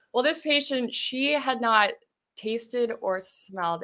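Over a quiet background, a woman talks at a fairly slow pace. Her intonation is lively. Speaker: ketamine clinic consultant. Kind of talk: casual interview. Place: studio. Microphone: studio mic.

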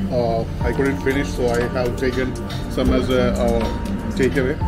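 A man's voice over loud music in the background. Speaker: food vlogger. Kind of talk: casual vlog chat. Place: cafe.

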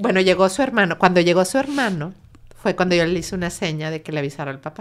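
Speaking very fast with a Mexican accent, a woman shows big swings in loudness and ordinary pitch variation. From Mexico. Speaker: bereaved mother and suicide prevention activist; guest. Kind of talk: emotional personal testimony. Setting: in-person studio interview. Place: studio. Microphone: studio mic.

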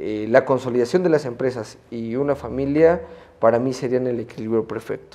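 Moderate-paced speech from a man, dark and mellow in tone, with fairly even intonation. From Mexico, Puebla. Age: young. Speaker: media entrepreneur and lawyer; lawyer. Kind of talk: interview. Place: studio. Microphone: lapel.

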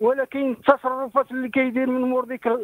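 A man talks at an extremely high pitch and a fairly quick pace, with fairly even intonation. The sound is dry with no echo, and the background is quiet. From Morocco. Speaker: caller. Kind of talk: phone-in story. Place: home room.

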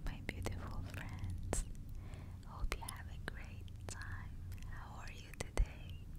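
The pace is very slow. It is a woman's voice. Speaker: ASMR artist. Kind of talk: whispered ASMR ramble while eating candy. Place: home room. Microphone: lapel.

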